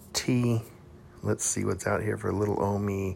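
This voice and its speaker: A man with an American accent talks at a moderate pace in a fairly low pitch, with fairly even intonation and vocal fry. The recording is very clean, with a silent background. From Texas, Houston. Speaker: podcaster reviewing dating profiles. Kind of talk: casual monologue, reading profiles aloud. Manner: casual, profane, with laughs and hesitations.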